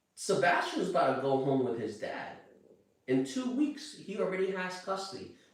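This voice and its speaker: Audible room echo follows a man who talks at a moderate pace with a high pitch and very wide pitch swings. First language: Chinese. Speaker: true crime commentator. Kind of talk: casual commentary monologue. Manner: halting, repeats words.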